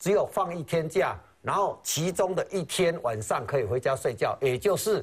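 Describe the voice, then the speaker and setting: Somewhat breathy, a man speaks at a moderate pace with very wide swings in pitch. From Taiwan. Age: 50s. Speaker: retired firefighter, pension protester; talk show guest. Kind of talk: TV talk show interview. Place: studio. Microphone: lapel.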